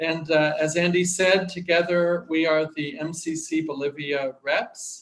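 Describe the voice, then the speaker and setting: An American-accented man speaks in a fairly high voice. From US Midwest, Kansas. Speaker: church aid worker. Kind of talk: video greeting. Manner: halting, many fillers.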